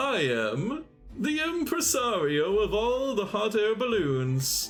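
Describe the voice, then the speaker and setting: A man puts on a character voice with a high pitch and very wide pitch swings. He talks at a fairly slow pace over faint music in the background. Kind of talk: uppity, grandiose. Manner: pompous.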